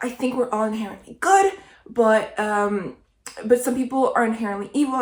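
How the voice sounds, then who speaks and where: A fairly high-pitched, somewhat breathy woman's voice with fairly even intonation. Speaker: lifestyle vlogger. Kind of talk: casual vlog monologue. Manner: rambling, conversational.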